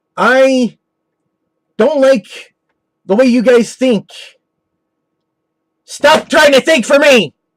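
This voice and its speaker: The speaker talks at a very slow pace, leaving long, frequent pauses. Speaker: video blogger. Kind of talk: angry rant. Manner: loud.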